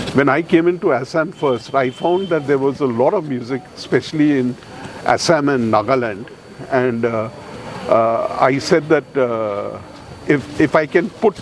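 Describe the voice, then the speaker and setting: At a fairly slow pace, a man with a fairly high pitch talks with ordinary pitch variation, noticeable background noise behind him. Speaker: music examiner. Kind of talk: casual chat; speech at a ceremony.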